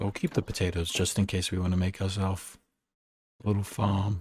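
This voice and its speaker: In a very clean recording with a silent background, a soft-spoken man with a very deep, low pitch and a gentle, somewhat breathy tone speaks at a fairly slow pace. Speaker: streamer. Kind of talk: sleep-aid gameplay commentary. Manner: soft-spoken, gentle.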